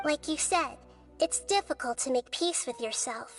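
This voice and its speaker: A female-sounding, high-pitched put-on character voice over clear music in the background. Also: moderate pace. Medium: video game. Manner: calm, measured, thoughtful.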